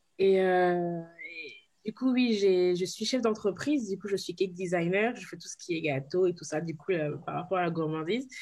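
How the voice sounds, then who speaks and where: An unremarkable speaking voice, a woman's, sits at medium pitch with ordinary pitch variation and big swings in loudness at a moderate pace. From Ivory Coast / Cape Verde heritage. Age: 20s. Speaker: cake designer, social media volunteer. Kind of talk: interview.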